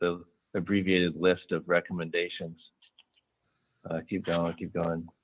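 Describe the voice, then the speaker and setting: This man's pitch is very deep and low. He keeps a flat, monotone delivery at a moderate pace. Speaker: city official presenting police reform recommendations. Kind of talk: public meeting presentation. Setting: in-person committee meeting. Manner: loud; hesitant, many fillers.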